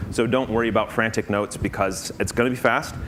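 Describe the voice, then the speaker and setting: Talking at a very fast pace with fairly even intonation, a man with a fairly low pitch is heard through audible room echo and noticeable background noise. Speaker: conference speaker. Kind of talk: conference talk.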